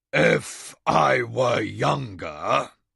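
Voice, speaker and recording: A man puts on a booming character voice, raspy and gravelly. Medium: read story.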